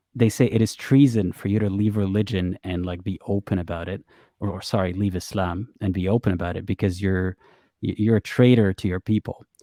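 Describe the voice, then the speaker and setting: In a dry, close sound with no echo, a man talks at a fairly quick pace with a fairly low pitch, a dark, mellow tone and fairly even intonation. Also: very clean recording, silent background. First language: Arabic. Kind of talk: interview conversation. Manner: halting, many false starts.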